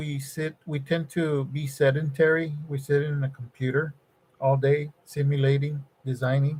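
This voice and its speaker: A man speaks at a moderate pace with a fairly high pitch, a somewhat breathy sound, and monotone, flat intonation. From Mexico, Nuevo Laredo (border region). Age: 60s. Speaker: electronics design engineer and livestreamer. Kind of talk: casual live-stream chat with viewers. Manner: halting, many fillers and repetitions.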